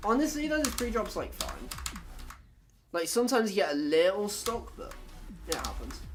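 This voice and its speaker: At a moderate pace, a speaker with a British accent leaves long, frequent pauses over noticeable background noise. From Britain. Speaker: gaming streamer. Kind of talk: casual chat. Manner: casual, filler-heavy.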